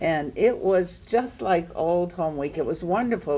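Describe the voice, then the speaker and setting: A woman's dark, mellow tone at a moderate pace. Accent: Maine. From Maine, Portland. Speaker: panelist. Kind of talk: storytelling at panel discussion.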